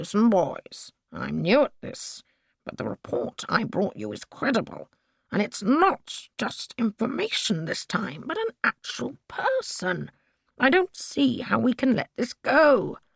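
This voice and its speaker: In a put-on character voice, the speaker sounds raspy at a fairly high pitch and moves at a fairly slow pace. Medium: read story.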